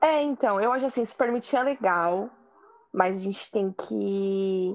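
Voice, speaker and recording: A woman's voice, moderately paced, its pitch rising and falling in an ordinary way. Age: 20s. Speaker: podcast guest. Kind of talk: casual chat. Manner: animated.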